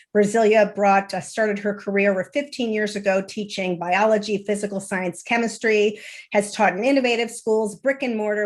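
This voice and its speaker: Against a quiet background, a woman with an ordinary speaking voice talks at a moderate pace and medium pitch with fairly even intonation. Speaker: founder of education reform group, webinar moderator. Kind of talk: online panel moderation.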